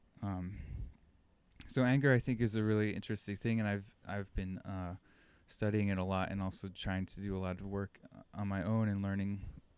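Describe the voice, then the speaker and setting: A soft-spoken man's fairly low, monotone, flat delivery at a fairly quick pace. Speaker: podcast host. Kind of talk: casual monologue. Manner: halting.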